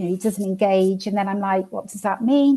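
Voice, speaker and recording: In a Welsh accent, a woman speaks at a medium pitch with a dark, mellow tone and fairly even intonation. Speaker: coaching client. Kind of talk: personal account. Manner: halting.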